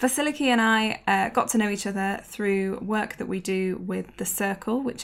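Speaking with a normal speaking voice, a woman keeps a moderate pace and a medium pitch with ordinary pitch variation. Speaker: podcast host. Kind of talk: casual interview.

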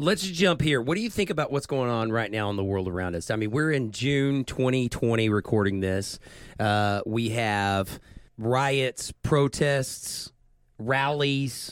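With a plain, everyday voice, this man talks at a fairly slow pace, his medium pitch carried by lively intonation. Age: 30s. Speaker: podcast host. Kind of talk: casual interview chat.

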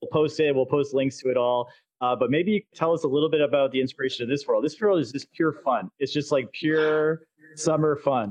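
A man with a normal speaking voice talks at a fairly quick pace and a fairly high pitch, his pitch varying in an ordinary way. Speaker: podcast host. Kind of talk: casual interview chat. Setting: virtual world, live online recording.

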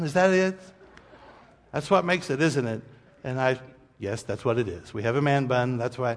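Lively intonation marks a man's speech, which moves at a moderate pace. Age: 40s. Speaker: pastor. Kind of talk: sermon. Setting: church. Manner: casual, conversational.

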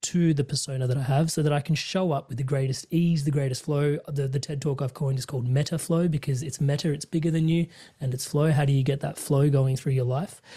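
A man with an Australian accent, fairly high in pitch, somewhat breathy with a dark, mellow tone, on a very clean recording with a silent background. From Indian heritage, immigrant family. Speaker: career coach and podcast host. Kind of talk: casual interview chat. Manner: animated.

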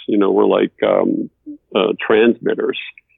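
A man speaks at a fairly slow pace. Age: 60s. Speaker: television director. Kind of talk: casual interview conversation. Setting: Skype call. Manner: halting, many fillers and repetitions.

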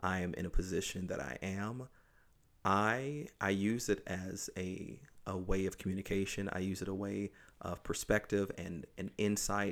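At a moderate pace, a man with an American accent talks in a fairly low pitch with fairly even intonation. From US South. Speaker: children's pastor. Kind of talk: casual chat. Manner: halting.

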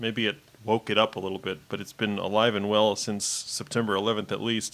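A man with an American accent talks at a fairly quick pace. He has a normal speaking voice at medium pitch. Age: 30s. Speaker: podcast guest. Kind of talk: casual political discussion.

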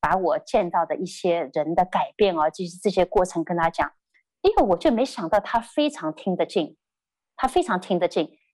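A woman speaks at a moderate pace on a very clean recording with a silent background and a dry, close sound with no echo. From China, Shanghai. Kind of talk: testimony. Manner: halting, many fillers.

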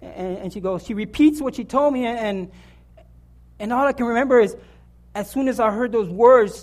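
Here a man speaks with an extremely high pitch. His pitch variation is ordinary. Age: 40s. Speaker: lay preacher. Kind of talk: sermon. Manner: halting.

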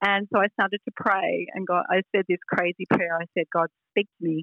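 A woman with an Australian accent at a fairly slow pace. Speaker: author and speaker on hearing God. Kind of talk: interview chat. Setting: video call.

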